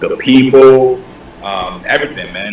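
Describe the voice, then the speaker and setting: A man speaks at medium pitch with a slight Nigerian accent. His pace is moderate and his pitch varies in an ordinary way. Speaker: YouTuber, content creator. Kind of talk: casual interview. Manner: relaxed, conversational with fillers.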